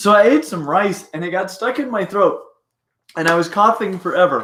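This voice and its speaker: A man's put-on character voice, hoarse and raspy, high-pitched, at a moderate pace. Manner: casual, telling a story.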